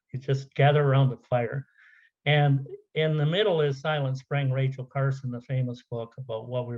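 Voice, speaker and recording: Fairly quick, somewhat breathy speech from a man at medium pitch with fairly even intonation. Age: 70s. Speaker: conference speaker, software business owner. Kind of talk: conference presentation. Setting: virtual conference. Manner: halting, many fillers.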